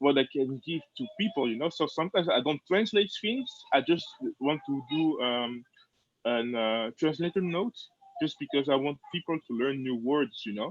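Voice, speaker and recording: Lively intonation from a man with a French accent and a fairly high pitch. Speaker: fan translator. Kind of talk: casual chat. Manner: halting.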